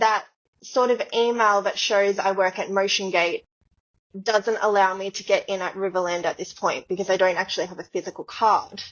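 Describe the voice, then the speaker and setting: Here a woman speaks with an Australian accent. Her pace is moderate and her pitch medium. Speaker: dancer. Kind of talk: casual chat. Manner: animated.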